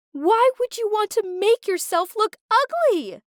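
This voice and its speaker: A woman's squeaky, put-on character voice, shouting at an extremely high pitch with lively intonation and a fairly slow pace. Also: dry, close sound with no echo. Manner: shouting angrily.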